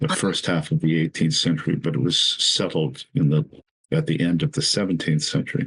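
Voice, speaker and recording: In an American accent, a man speaks with very wide pitch swings. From Southern California, San Diego. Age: 70s. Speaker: author and cultural commentator. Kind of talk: podcast interview.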